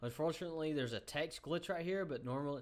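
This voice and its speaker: A man talks with a Southern US accent. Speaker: gaming youtuber. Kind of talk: game tutorial. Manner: casual, many filler ums.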